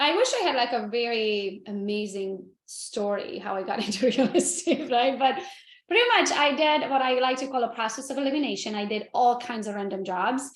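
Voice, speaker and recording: Someone with a non-native accent speaks at a moderate pace with lively intonation. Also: woman, high pitch for a woman. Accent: foreign. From Romania (Transylvania), Hungarian. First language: Hungarian. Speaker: real estate agent. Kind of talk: interview. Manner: animated.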